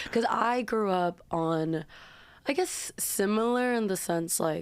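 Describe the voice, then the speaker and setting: The speaker has a Korean accent and speaks at a very slow pace. The intonation is lively. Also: woman, medium pitch for a woman. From Korea, raised partly in US. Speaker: singer-songwriter. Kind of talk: casual chat.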